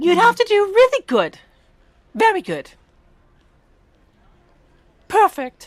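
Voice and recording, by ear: A put-on character voice, squeaky and extremely high, moves at a fairly slow pace with long, frequent pauses.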